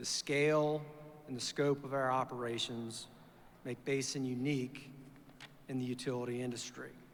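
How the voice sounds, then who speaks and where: At a moderate pace broken by long, frequent pauses, a man with an American accent speaks in a medium pitch with monotone, flat intonation. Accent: Virginia accent, noticeable to locals. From Virginia. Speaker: chief financial officer. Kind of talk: formal speech to an audience. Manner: hesitant fillers.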